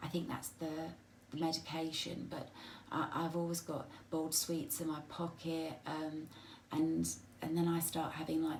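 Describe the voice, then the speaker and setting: Someone with an English accent talks at a moderate pace. There are long, frequent pauses. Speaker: vlogger with a spinal condition. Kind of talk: personal video diary. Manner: halting.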